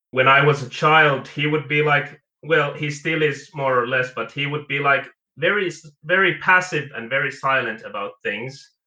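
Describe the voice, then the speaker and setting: Speaking at a fairly slow pace, the man has a fairly high pitch. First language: not English. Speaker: caller. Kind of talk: casual chat. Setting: phone call.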